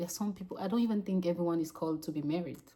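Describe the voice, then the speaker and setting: Her voice is fairly low and somewhat breathy, with a dark, mellow tone. This woman's pitch varies in an ordinary way. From Cameroon and Gabon. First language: French. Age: 30s. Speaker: vlogger. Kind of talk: casual unscripted monologue. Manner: halting, self-correcting.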